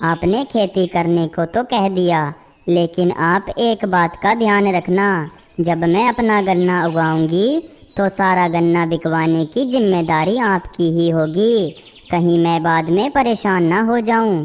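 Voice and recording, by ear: This is a cartoonish character voice that sounds female, at a medium pitch for a woman. The pace is fairly slow.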